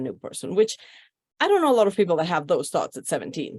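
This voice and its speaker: With a quiet background behind her, a woman talks at a medium pitch. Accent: Spanish. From Mexico, Mexico City. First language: Spanish. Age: 50s. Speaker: podcast guest. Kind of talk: life story interview.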